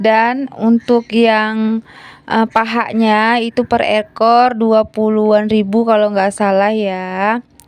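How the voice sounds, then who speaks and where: Over music in the background, a woman with a shrill, fairly high-pitched voice talks at a very slow pace with hardly any pauses, in a monotone, flat intonation, at very even loudness, in a dry, close sound with no echo. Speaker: homemaker vlogger. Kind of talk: vlog voiceover narration. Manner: casual, chatty.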